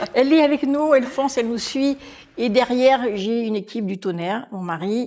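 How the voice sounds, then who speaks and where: A woman with a high, dark, mellow voice talks at a moderate pace, showing ordinary pitch variation and big swings in loudness. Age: 60s. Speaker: restaurant manager. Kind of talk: podcast interview. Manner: animated.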